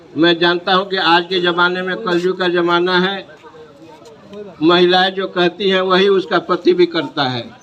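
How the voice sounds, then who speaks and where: Over noticeable background noise, a man speaks at a high pitch with fairly even intonation. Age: 70s. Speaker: party leader. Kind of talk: political rally speech.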